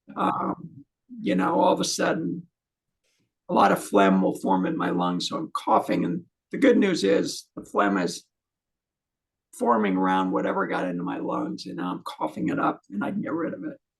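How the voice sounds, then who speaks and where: A man at a moderate pace, with long and frequent pauses. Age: 60s. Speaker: channel host interviewing a fellow patient. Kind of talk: casual chat.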